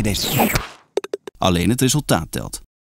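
A man with a medium pitch talks at a moderate pace, his pitch swinging very widely. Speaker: voice actor. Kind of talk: TV and radio commercial reads (showreel).

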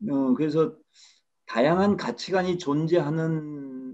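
The man's pitch is fairly high, and his tone is dark and mellow. He speaks at a very slow pace. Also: quiet background. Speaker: researcher; presenter. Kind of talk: panel discussion. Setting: video call. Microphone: video call.

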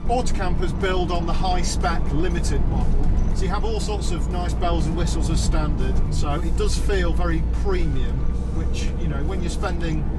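A man speaks at a moderate pace over loud music in the background. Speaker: vehicle reviewer. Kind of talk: review commentary. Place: car.

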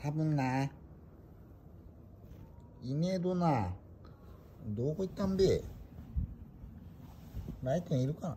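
Over light background noise, a man with an Ibaraki accent speaks at a fairly high pitch in a dark, mellow tone, with long, frequent pauses. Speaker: pet owner. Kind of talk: casual vlog talk while searching for a pet cat. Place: home room. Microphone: phone near.

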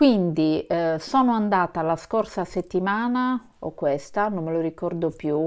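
A woman at a fairly slow pace with ordinary pitch variation, over a quiet background. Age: 50s. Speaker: vlogger. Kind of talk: casual vlog talk to camera. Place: home room. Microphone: phone near.

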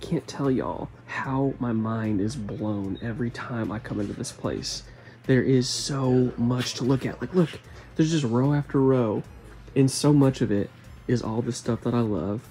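Faint music plays behind a man speaking. He talks at a moderate pace with ordinary pitch variation. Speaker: toy collector vlogger. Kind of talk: casual vlog chat. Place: shop. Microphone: phone near.

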